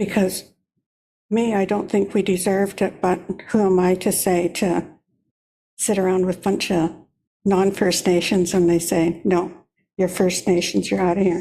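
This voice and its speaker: Speaking at a medium pitch and a moderate pace, a woman has a dark, mellow tone and a monotone, flat delivery with very even loudness. Long, frequent pauses break her speech on a very clean recording with a silent background. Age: 70s. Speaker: First Nations elder. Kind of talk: testimony. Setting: public meeting. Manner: rambling, conversational.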